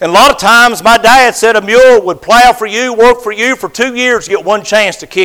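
Raised and projected, a man's extremely high-pitched voice moves at a fairly quick pace with fairly even intonation and hardly any pauses. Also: big swings in loudness. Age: 50s. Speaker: pastor. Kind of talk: sermon.

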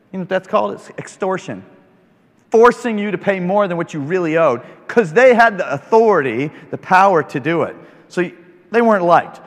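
Speaking with an American accent, a man uses a high pitch, lively intonation and an animated tone. He leaves long, frequent pauses. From rural Kansas, US. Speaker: preacher. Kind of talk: sermon. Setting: stage with audience.

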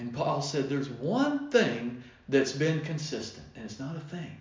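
A man talks at a fairly high pitch, with audible room echo. There is noticeable background noise. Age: 50s. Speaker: pastor. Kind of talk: sermon.

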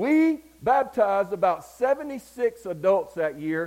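Animated in tone, a man with a Southern US accent speaks with very wide pitch swings. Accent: Southern US (Georgia). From US South, Georgia. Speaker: preacher. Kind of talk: sermon.

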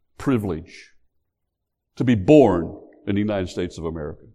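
Vocal fry marks this man's voice as he talks at a fairly slow pace. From West Virginia. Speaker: pastor. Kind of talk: sermon.

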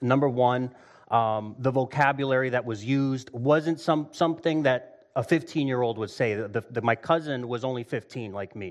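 A man at medium pitch and moderate pace, with ordinary pitch variation. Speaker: lay preacher. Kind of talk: sermon. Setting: church service with audience. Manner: loud.

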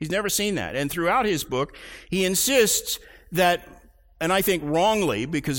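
Here a man speaks with an American accent. His pitch is high and his pace moderate. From US, Oklahoma (Tulsa). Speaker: pastor. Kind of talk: sermon.

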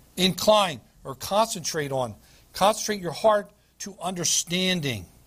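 The reading is done aloud in a natural voice. Pitch rises and falls in a lively way.

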